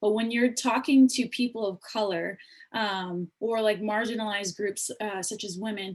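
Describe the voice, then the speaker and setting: At a moderate pace, a woman with an unremarkable speaking voice keeps a fairly even intonation. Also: fairly high pitch for a woman. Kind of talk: panel discussion. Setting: video call.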